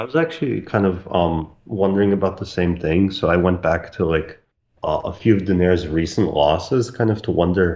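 Against a quiet background, a man with an Eastern European accent speaks in a very deep, low pitch, with a dark, mellow tone and ordinary pitch variation. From post-Soviet country, Eastern Europe. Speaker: boxing podcast guest. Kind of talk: casual chat.

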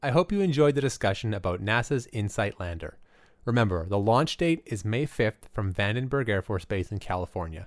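This man has a normal speaking voice, fairly low in pitch, with a Canadian accent and lively intonation. He keeps a moderate pace on a very clean recording with a silent background. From Alberta, Canada. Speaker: podcast host. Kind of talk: interview; scripted narration.

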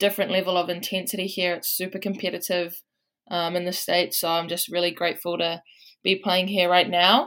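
On a very clean recording with a silent background, a woman with a New Zealand accent speaks at a moderate pace, her fairly low voice monotone and flat. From New Zealand, Waikato. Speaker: college basketball player. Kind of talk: casual interview.

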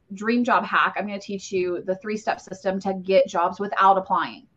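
A woman's normal speaking voice at a medium pitch and a fairly quick pace. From Ohio, US Midwest. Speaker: career coach, podcast host. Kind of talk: live-streamed workshop. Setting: livestream with chat. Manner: casual, many fillers.

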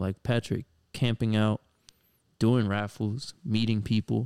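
The speaker has an American accent and a moderate pace. Pitch variation is ordinary. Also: man. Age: 20s. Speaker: podcast host, sneaker reseller. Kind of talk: casual chat. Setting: home studio in living room. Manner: animated.

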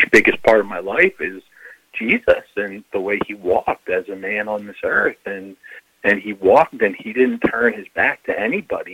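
The sound is dry and close with no echo as a man talks at a moderate pace. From Philadelphia, US. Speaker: life coach. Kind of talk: casual interview. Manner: halting.

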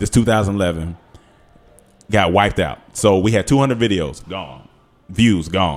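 A man with an American accent speaks in a very deep, low voice with ordinary pitch variation. His pace is moderate, with long, frequent pauses. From North Carolina. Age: 30s. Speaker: comedian and YouTube creator. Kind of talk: casual interview.

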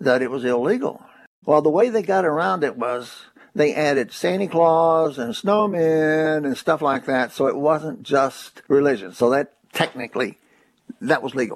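A man with a Kentucky accent speaks at a moderate pace. His voice is fairly high, with lively intonation. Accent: Kentucky, US South. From Kentucky, Corbin. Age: 80s+. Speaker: atheist activist. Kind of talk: interview.

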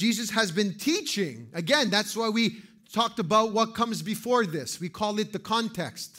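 The man's high pitch comes with a bright, sharp tone. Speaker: pastor. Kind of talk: sermon. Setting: church. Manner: serious, intense.

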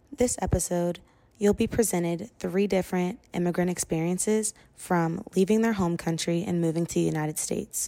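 Fairly low for a woman, her voice has a dark, mellow tone and fairly even intonation. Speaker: podcast host. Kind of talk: scripted narration.

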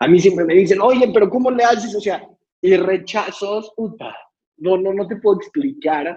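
This man's voice has a dark, mellow tone. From Mexico City. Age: 20s. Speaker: social entrepreneur. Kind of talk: motivational talk.

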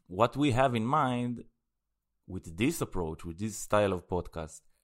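At a moderate pace, a man with a fairly low voice talks with lively intonation. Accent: Israeli. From Israel. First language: Hebrew. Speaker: podcast co-host. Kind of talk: casual chat.

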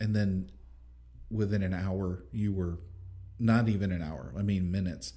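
A man's fairly low, somewhat breathy voice with a dark, mellow tone moves at a moderate pace with ordinary pitch variation, in a room with audible echo. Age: 40s. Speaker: podcast host and father. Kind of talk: casual chat.

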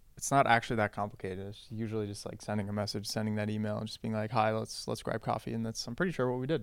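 On a very clean recording with a silent background, a man with an American accent speaks at a very fast pace with hardly any pauses, in a fairly low pitch with fairly even intonation. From international, US and Western Europe. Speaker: startup co-founder. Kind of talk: interview. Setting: office.

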